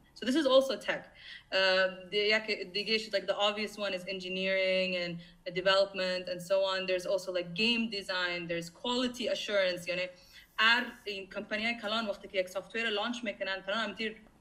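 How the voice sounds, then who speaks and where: A woman talks at a fairly quick pace. Noticeable background noise can be heard. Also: medium pitch for a woman, fairly even intonation. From Afghanistan. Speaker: tech professional giving career talk. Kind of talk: online presentation / talk. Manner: fast; hesitant with many fillers.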